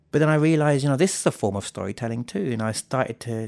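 In a southern English accent, a man talks very fast with ordinary pitch variation, recorded with a dry, close sound with no echo and a very clean, silent background. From southern England. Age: 40s. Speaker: storytelling festival president. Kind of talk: interview.

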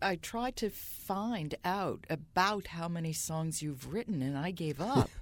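On a very clean recording with a silent background, a woman with a plain, everyday voice and a fairly low pitch talks at a fairly slow pace with lively intonation and hardly any pauses. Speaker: podcast host. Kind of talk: interview.

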